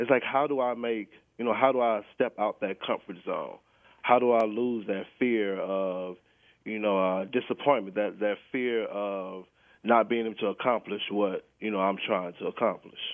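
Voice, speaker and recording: A man with an ordinary speaking voice, fairly low in pitch, at a moderate pace. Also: fairly even intonation. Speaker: caller. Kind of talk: casual chat. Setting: phone call.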